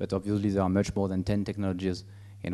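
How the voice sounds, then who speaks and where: Very deep and low in pitch, this man's voice has a dark, mellow tone and a French accent. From France. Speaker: business executive. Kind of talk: presentation. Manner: halting, many fillers.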